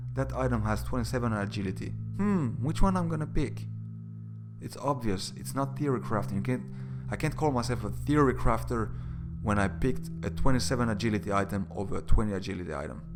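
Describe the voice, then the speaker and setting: With music in the background and audible room echo, a man with a non-native accent speaks at a very fast pace, his very deep, low pitch making very wide swings. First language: not English. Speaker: gaming YouTuber. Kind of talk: opinion commentary video.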